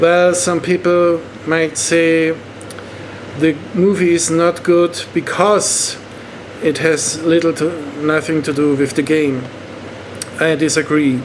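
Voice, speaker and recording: A man with a German accent, fairly high-pitched for a man, at a very slow pace with long, frequent pauses, monotone, flat intonation, very even loudness and noticeable background noise. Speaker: online movie reviewer. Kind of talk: movie review monologue. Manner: halting.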